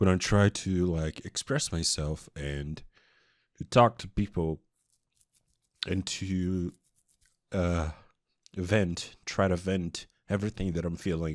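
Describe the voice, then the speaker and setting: In a very clean recording with a silent background, a man with a Portuguese accent speaks very slowly at a very deep, low pitch, leaving long, frequent pauses. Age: 20s. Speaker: vlogger. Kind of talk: personal confession. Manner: halting.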